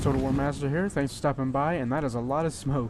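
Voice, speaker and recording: Amid noticeable background noise and audible room echo, a man talks at a fairly high pitch with fairly even intonation. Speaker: gaming video creator. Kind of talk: gameplay commentary. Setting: home at midnight. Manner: soft-spoken; hesitant, many fillers.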